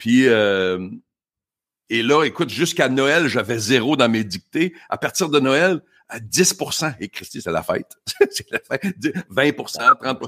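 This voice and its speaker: A man with a Quebec accent at a medium pitch, bright, sharp tone and very wide pitch swings, at a very slow pace, in a very clean recording with a silent background and a dry, close sound with no echo. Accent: Québécois French. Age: 50s. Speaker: motivational speaker. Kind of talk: casual interview.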